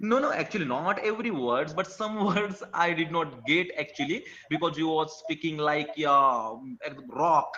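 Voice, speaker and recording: A man's fairly high voice moves at a moderate speed, his intonation lively, with noticeable noise in the background. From India. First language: an Indian language. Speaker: teacher, language learner. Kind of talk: casual chat. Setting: video call. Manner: halting.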